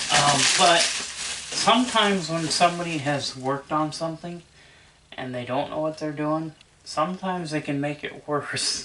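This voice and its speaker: Moderate pace over noticeable background noise. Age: 30s. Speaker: VCR repair hobbyist and collector. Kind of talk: casual tutorial video. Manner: hesitant, with many fillers.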